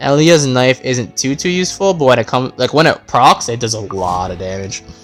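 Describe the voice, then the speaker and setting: A man's medium-pitched voice with lively intonation at a moderate pace, music playing in the background. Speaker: gaming YouTuber. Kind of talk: casual gameplay commentary.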